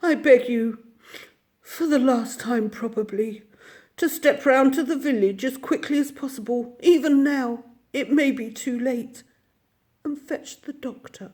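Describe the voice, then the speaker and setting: A female-sounding put-on character voice, high in pitch, at a moderate pace with long, frequent pauses. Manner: feeble murmur.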